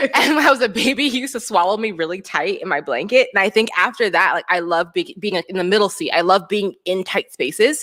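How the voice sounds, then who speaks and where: Speaking very fast, this woman's pitch swings very widely, with noticeable background noise around her. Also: medium pitch for a woman. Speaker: performance artist and dancer. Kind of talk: interview.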